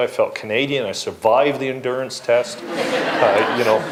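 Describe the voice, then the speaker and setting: Noticeable background noise runs behind speech delivered at a moderate pace. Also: man. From England. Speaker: environmental advocate and former elected official. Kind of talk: panel discussion.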